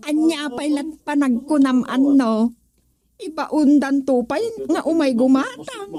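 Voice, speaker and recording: Speaking at a fairly slow pace, the speaker puts on a high-pitched character voice. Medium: audio drama. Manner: exclaiming, laughing.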